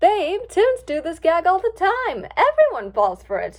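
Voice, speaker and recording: A woman's put-on character voice, extremely high in pitch, at a moderate pace. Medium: read story.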